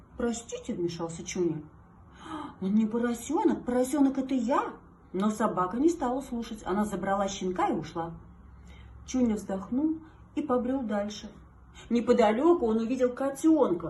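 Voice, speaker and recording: The intonation is lively, with long, frequent pauses. Noticeable background noise can be heard. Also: woman, fairly high pitch for a woman, moderate pace. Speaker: singer and TV presenter. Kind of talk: children's fairy tale reading.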